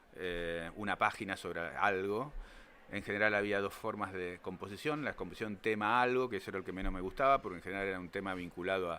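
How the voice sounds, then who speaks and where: A man with a Rioplatense accent, fairly low in pitch, very fast, bright and sharp in tone, with ordinary pitch variation. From Argentina, Buenos Aires (Pompeya). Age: 60s. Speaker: writer and journalist. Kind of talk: interview. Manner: halting, many fillers.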